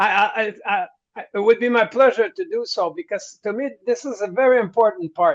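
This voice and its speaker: With a strong French Canadian accent, a man talks at an extremely high pitch with very wide pitch swings. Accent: thick French-Canadian. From Quebec. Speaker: rock singer. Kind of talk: interview. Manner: halting, repeats words while translating thoughts.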